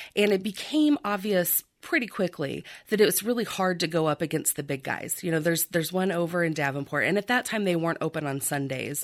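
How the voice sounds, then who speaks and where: This voice moves at a fairly quick pace with lively intonation and a Midwestern American accent. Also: woman, fairly low pitch for a woman. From rural southern Iowa. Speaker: antique and art shop owner. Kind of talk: radio interview.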